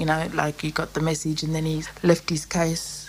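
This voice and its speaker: Against noticeable background noise, a woman with a fairly low pitch speaks at a fairly quick pace. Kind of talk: interview. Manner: halting.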